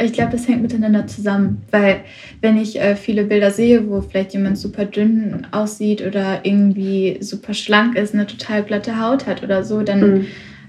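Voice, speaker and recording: A woman's medium-pitched voice at a moderate pace, monotone and flat in intonation. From Germany, Ruhr area (Witten near Bochum). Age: 20s. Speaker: university student. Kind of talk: interview. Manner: hesitant, many fillers.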